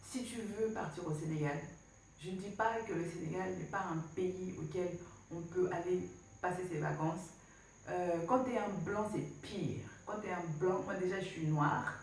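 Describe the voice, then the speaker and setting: A woman with a medium pitch talks at a fairly slow pace with ordinary pitch variation. There is noticeable background noise and audible room echo. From DR Congo. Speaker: travel vlogger. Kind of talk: casual vlog talk. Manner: hesitant, many fillers; animated.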